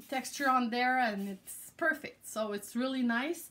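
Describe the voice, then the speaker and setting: Speaking at a fairly slow pace, a woman with a French-Canadian accent has a high pitch. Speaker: craft product creator. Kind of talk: tutorial. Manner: halting.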